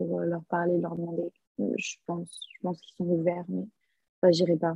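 Music plays in the background. A woman speaks at medium pitch and a moderate pace. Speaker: exchange student, podcast co-host. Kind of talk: casual chat.

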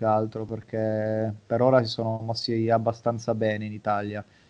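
A man speaks at a moderate pace. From Italy. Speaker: psychologist and sports mental coach. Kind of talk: interview.

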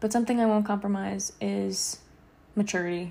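A somewhat breathy woman's voice, dark and mellow in tone, with very wide pitch swings. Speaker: podcast host. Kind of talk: casual monologue. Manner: casual, rambling with fillers.

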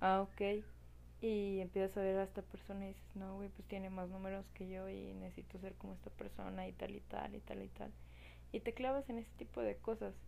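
At a fairly quick pace, a woman speaks in a Mexican accent. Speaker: podcast host. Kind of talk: personal monologue. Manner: casual, slangy.

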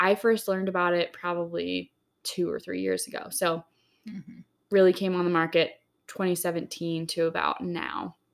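A woman's plain, everyday voice, fairly low in pitch, at a moderate pace on a very clean recording with a silent background. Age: 30s. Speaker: wellness podcast co-host. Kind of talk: casual chat. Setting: cabin in the desert, recording in person.

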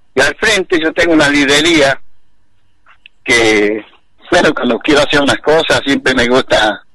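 Over noticeable background noise, a man with fairly high pitch speaks at a fairly slow pace. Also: long, frequent pauses, very even loudness. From Santiago del Estero, Argentina. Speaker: basket weaver artisan. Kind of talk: casual interview.

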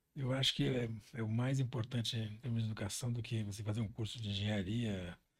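At a medium pitch and moderate pace, a man talks in a somewhat breathy voice. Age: 60s. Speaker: business executive. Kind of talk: interview. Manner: halting.

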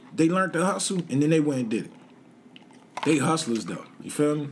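A man with an American accent talks at a fairly quick pace and a fairly high pitch, his intonation lively, with audible room echo. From Washington DC, Southeast. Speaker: entrepreneur and former street hustler. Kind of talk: casual interview chat.

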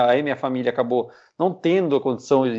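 A man speaks at a moderate pace and medium pitch, in an ordinary speaking voice. The background is quiet. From Piedade, São Paulo interior, Brazil. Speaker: racing driver. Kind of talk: casual interview.

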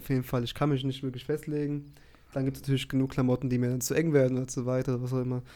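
With a dark, mellow tone, a man speaks very fast at a medium pitch in a monotone, flat manner. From Germany, Frankfurt area. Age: 20s. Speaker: podcast co-host. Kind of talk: casual chat.

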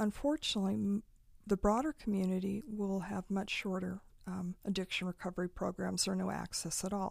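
A woman's somewhat breathy, medium-pitched voice with a West Coast accent at a moderate pace, on a very clean recording with a silent background. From Eastern Oregon, US. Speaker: nonprofit executive director and lawyer. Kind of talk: interview.

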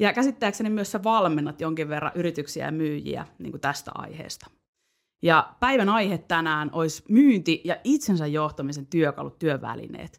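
A woman's fairly low voice with vocal fry and lively intonation at a moderate pace, on a very clean recording with a silent background. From Finland, Parkano (Pirkanmaa). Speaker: podcast host. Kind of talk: casual chat.

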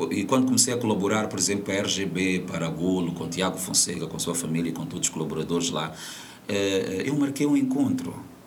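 A man speaks at a fairly quick pace with long, frequent pauses and very wide pitch swings, amid noticeable background noise and audible room echo. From Mozambique. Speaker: media presenter and voice-over artist. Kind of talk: interview. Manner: animated; halting.

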